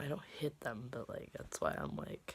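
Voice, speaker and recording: The woman's voice comes across as somewhat breathy. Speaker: vlogger. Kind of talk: casual vlog monologue. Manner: halting, hesitant.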